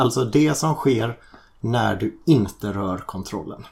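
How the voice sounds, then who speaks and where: A man with a medium-pitched, somewhat breathy voice speaks at a very slow pace. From Sweden, Gothenburg. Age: 40s. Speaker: teacher, podcast guest. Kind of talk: casual chat.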